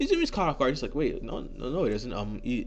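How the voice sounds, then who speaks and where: Speaking at a very fast pace, a man's voice carries audible room echo. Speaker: fan fiction storyteller. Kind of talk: casual improvised storytelling. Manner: halting, many fillers.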